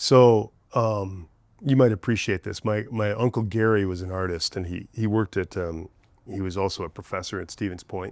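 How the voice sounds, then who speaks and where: This man has an ordinary speaking voice, fairly low in pitch, with fairly even intonation and a moderate pace. The recording is very clean, with a silent background. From small-town Wisconsin, US Midwest. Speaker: singer-songwriter. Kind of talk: casual interview chat.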